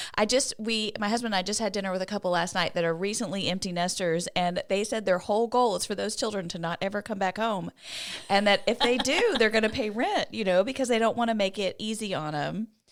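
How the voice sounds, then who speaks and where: A woman speaks at a very fast pace against noticeable background noise. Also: medium pitch for a woman, ordinary pitch variation. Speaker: podcast host. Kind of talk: casual podcast talk.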